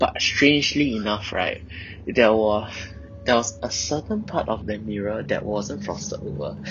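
A man speaks at a moderate pace with lively intonation. Noticeable background noise runs behind him. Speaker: confessor telling a hotel ghost experience. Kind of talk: ghost story telling. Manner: hesitant, halting, with filler words.

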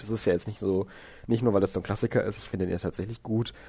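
The man's intonation is flat and monotone. His pitch sits fairly low. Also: very clean recording, silent background. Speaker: podcast co-host. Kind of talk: casual chat. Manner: voice cracks on some notes.

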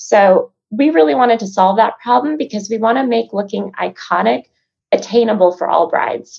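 Speaking in an American accent, a woman has a fairly high pitch and some vocal fry. Her intonation is lively and her pace moderate. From Chicago. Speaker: sales professional and business co-founder. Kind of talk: casual interview chat.

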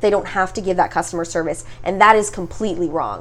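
Over noticeable background noise, a woman with a Canadian accent speaks at a fairly quick pace with fairly even intonation. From Ontario, Canada (Mississauga). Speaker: podcast host. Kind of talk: casual chat. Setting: guest's studio.

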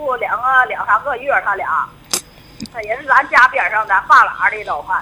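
Over noticeable background noise, a woman with a Northeastern Chinese accent speaks at a moderate pace in a high voice. Her intonation is lively and her loudness swings widely. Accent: Northeastern Mandarin. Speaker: caller. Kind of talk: phone-in advice call. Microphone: too quiet.

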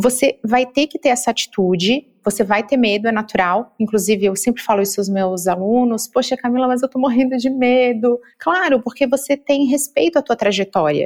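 With hardly any pauses, a woman speaks in a high pitch with ordinary variation, the sound dry and close with no echo. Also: moderate pace. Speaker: marketing consultant. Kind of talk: interview.

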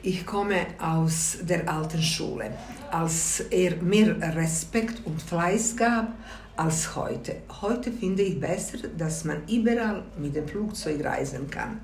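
A woman with a Bosnian accent speaks at a very slow pace in a fairly low voice with lively intonation, with audible room echo and noticeable background noise. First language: Bosnian (speaking German). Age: 60s. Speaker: grandmother interviewee. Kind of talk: interview.

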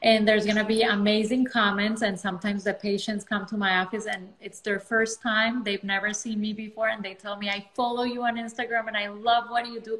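With a non-native accent, a woman speaks at a fairly high pitch and a fairly quick pace. Her intonation is monotone and flat, and noticeable background noise is present. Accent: foreign. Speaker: dermatologist. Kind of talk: casual interview.

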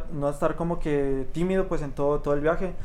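Audible room echo surrounds a man with a fairly high pitch who talks at a fairly quick pace with ordinary pitch variation. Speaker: podcast host. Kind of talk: casual chat.

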